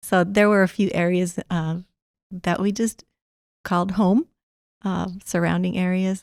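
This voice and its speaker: Speaking in a Spanish accent at a fairly slow pace, a woman keeps a medium pitch and monotone, flat intonation, leaving long, frequent pauses in a dry, close sound with no echo. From rural Arizona, Mexican immigrant family. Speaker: college administrator. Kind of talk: interview. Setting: studio.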